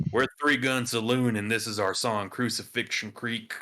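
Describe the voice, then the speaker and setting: Using a put-on character voice, raspy and husky at a medium pitch, a man speaks at a moderate pace with monotone, flat intonation. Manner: mock-serious, theatrical.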